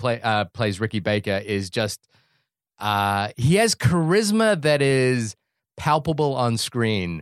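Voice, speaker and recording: In a dry, close sound with no echo, a man with a New Zealand accent speaks very slowly at medium pitch with lively intonation. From New Zealand (Wellington), born in Fiji. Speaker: podcast co-host, film reviewer. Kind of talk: casual chat.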